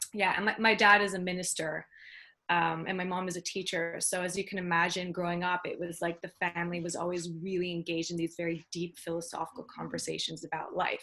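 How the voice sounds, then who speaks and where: Bright and sharp in tone, the speaker moves at a fairly quick pace with a Canadian accent. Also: woman. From Canada, Toronto. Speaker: business mentor and singer-songwriter. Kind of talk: interview.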